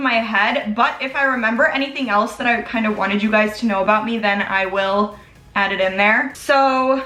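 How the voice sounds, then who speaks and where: A woman speaks at a fairly quick pace in a raised, projected voice with ordinary pitch variation. Audible room echo and noticeable background noise surround her. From US Midwest, Chicago. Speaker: beauty vlogger. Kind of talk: makeup tutorial and Q&A chat. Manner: casual, chatty.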